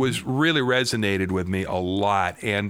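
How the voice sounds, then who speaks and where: A man with an American accent speaks in a plain, everyday voice with a fairly low pitch and ordinary pitch variation. The recording is very clean, with a silent background. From Washington State, US Pacific Northwest. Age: 50s. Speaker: guitarist and songwriter. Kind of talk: interview.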